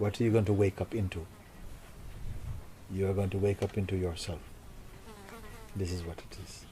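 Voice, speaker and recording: A man talks at a fairly quick pace with long, frequent pauses, his pitch fairly low and his intonation monotone and flat. His loudness swings widely, and there is noticeable background noise. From Jamaica. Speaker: spiritual teacher. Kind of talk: spiritual talk to audience.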